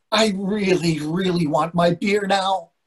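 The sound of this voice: A man's put-on character voice, high-pitched and slow, with a slightly husky edge and ordinary pitch variation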